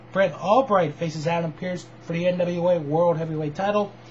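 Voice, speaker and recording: Moderately paced talking with noticeable noise in the background. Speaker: wrestling news show host. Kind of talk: casual news rundown.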